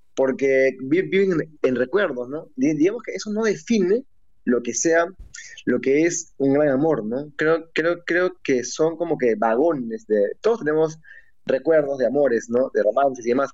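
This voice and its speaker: Over a quiet background, a man speaks at a fairly slow pace. His fairly high pitch rises and falls in lively intonation. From Peru. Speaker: novelist. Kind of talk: interview. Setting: video call.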